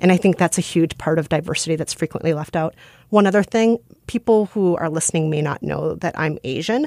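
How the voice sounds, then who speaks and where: A woman's fairly low, fairly quick voice with a Midwestern American accent and ordinary pitch variation, dry and close with no echo on a very clean recording with a silent background. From Minnesota, US Midwest. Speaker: podcast producer and co-host. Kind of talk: casual interview chat.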